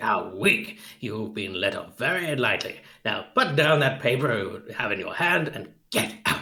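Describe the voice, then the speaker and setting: A man does a raspy, put-on character voice at medium pitch, keeping a moderate pace with hardly any pauses. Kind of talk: radio drama cold read.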